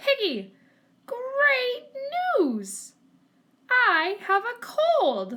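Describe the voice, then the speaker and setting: A woman puts on a squeaky character voice at an extremely high pitch, raised and projected. She goes at a very slow pace with long, frequent pauses. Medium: read story. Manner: dramatic, fretful.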